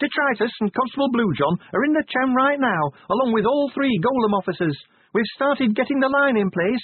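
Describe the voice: Shouting in a put-on character voice, a man goes extremely high in pitch, with lively intonation, a slightly husky edge and a fairly quick pace. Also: dry, close sound with no echo.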